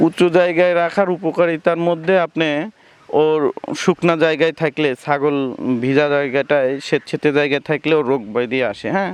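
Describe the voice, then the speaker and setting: Dry and close with no echo, this recording holds a man's fairly high voice with ordinary pitch variation. It is an unremarkable speaking voice. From Bangladesh, Pabna. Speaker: goat farmer. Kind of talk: interview.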